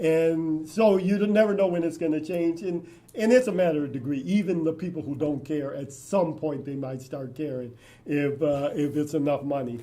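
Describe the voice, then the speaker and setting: In a room with audible echo, a man with a fairly high pitch and a dark, mellow tone speaks with ordinary pitch variation. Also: moderate pace. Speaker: public records expert speaker. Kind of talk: lecture; audience Q&A answer. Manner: halting.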